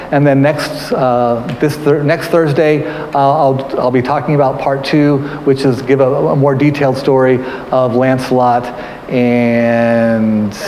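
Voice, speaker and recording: A man talks at a fairly slow pace in a medium pitch with fairly even intonation. Room echo is audible, and there is noticeable background noise. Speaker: museum curator. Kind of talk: live-streamed history talk. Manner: halting, many repetitions and fillers.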